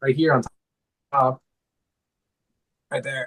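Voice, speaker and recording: His voice is somewhat breathy. The man speaks very fast. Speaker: guitarist. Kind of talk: casual chat. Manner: animated.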